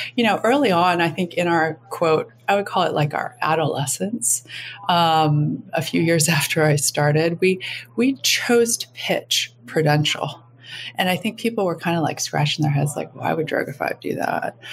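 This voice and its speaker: A woman's fairly low, somewhat breathy voice with an American accent, lively intonation and a moderate pace. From US Midwest, Minneapolis. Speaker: advertising agency executive. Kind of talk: interview.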